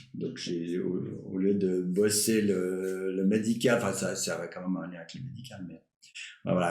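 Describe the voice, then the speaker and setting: This man's voice is very deep and low, moving at a fairly slow pace with ordinary pitch variation. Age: 60s. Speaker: retired doctor and climate activist. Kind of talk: casual interview. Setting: live stream podcast. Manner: halting, many fillers and repetitions.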